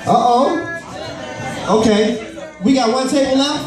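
The clip has audible room echo along with noticeable background noise. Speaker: event host / emcee. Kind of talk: live event hosting, energetic crowd-facing emcee talk. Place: hall. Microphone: pa.

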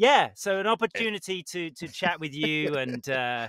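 A man with a British accent speaks in a bright, sharp tone with lively intonation. The sound is dry with no echo, over a quiet background. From Britain. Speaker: voice actor. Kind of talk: interview answer. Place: studio. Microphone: studio mic.

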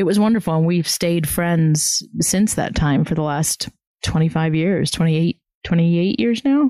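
Speaking very slowly with a Southern US accent, a woman with a fairly low pitch and a dark, mellow tone keeps lively intonation and very even loudness in a dry, close sound with no echo. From US South. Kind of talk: interview. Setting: outdoors.

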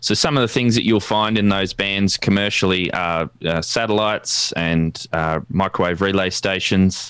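A man's fairly low voice with an Australian accent, fairly even intonation and very even loudness, dry with no echo, over a quiet background. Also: moderate pace. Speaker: ham radio youtuber. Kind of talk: tutorial. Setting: video call. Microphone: studio mic.

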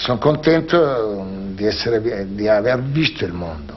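The pace of this man's speech is very slow. Still, his intonation is lively. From Salento, southern Italy. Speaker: shoe manufacturer businessman. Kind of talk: interview. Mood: reflective, earnest. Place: home room.

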